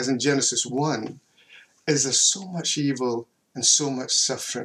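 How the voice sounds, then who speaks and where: The man's delivery moves at a fairly slow pace. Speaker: theology professor. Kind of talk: lecture. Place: home room.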